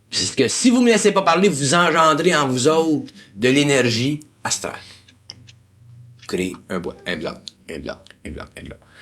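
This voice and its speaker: Speaking in a Quebec accent, a man with a fairly high pitch and vocal fry talks at a fairly slow pace, with long, frequent pauses, very wide pitch swings and big swings in loudness. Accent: Québécois French. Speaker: esoteric lecturer. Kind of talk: lecture to a group.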